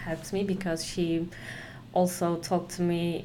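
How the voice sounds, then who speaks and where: A woman with a Turkish accent speaks at a fairly low pitch. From Turkey, Konya. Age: 20s. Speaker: company employee. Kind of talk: casual interview. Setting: office.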